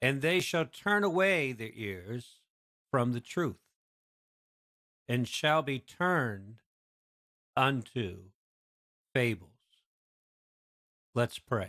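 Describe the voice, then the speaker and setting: A man speaks very slowly at a medium pitch, with a bright, sharp, passionate tone, very wide pitch swings, and long, frequent pauses. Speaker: preacher. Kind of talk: sermon with scripture reading and prayer. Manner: loud, passionate.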